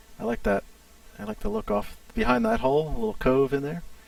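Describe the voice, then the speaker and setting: Pitched fairly high, a man talks fairly quickly amid noticeable background noise. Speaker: game studio community manager streaming gameplay. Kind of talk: casual live stream commentary. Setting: live stream.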